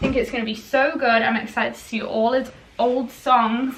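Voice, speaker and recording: There is audible room echo around a woman whose voice sits at a fairly high pitch. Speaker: vlogger. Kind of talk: casual vlog talk to camera.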